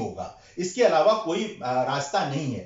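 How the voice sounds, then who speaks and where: Against noticeable background noise and audible room echo, a man with a Bihari accent talks with lively intonation. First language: Bhojpuri (speaking Hindi). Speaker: Hindi scholar / lecture speaker. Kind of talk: lecture at a seminar. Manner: hesitant with frequent fillers.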